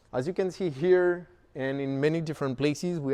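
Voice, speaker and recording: The tone is dark and mellow, with a strong French accent. Pitch varies in an ordinary way. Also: man. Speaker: company founder. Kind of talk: product tour. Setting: showroom. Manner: casual, with filler words.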